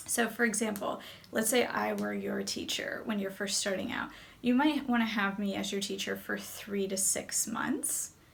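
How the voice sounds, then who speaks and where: A woman with an American accent amid noticeable background noise and audible room echo. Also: moderate pace. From US, New Jersey. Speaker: English teacher and video creator. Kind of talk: educational talk to camera.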